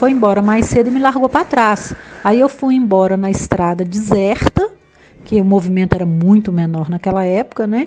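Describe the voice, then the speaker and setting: Noticeable background noise under a woman's medium pitch, at a moderate pace with ordinary pitch variation. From Brumadinho, Minas Gerais, Brazil. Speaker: school principal. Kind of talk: personal testimony. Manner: halting, with fillers and restarts.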